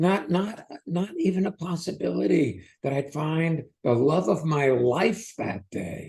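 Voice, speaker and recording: Using vocal fry, a man with a fairly high pitch talks fairly slowly but with hardly any pauses and a lively intonation. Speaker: podcast host. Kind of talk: casual podcast conversation.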